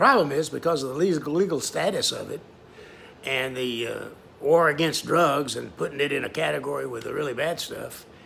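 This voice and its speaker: Against clearly audible background noise, a man speaks fairly quickly. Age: 70s. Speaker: self-published author and vlogger. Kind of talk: casual personal video monologue. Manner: hesitant, with many filler words.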